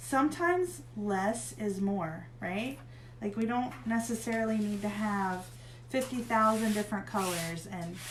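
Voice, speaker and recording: A woman with a medium pitch and a slight Southern US accent, very wide pitch swings and a fairly slow pace, amid audible room echo and noticeable background noise. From northern Pennsylvania, US (Erie). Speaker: craft tutorial host. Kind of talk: tutorial. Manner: casual, chatty.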